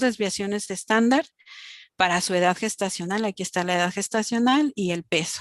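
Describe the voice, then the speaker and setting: An unremarkable speaking voice from a woman at medium pitch and moderate pace, fairly even in intonation, dry and close with no echo over a quiet background. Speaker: pediatric doctor lecturer. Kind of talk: lecture.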